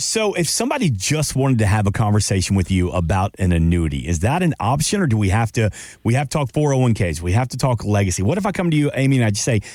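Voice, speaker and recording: With a slight Southern US accent, a man talks at a very fast pace with hardly any pauses, very wide pitch swings and very even loudness on a very clean recording with a silent background. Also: medium pitch for a man. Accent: slight Southern twang. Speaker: podcast co-host. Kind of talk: podcast interview.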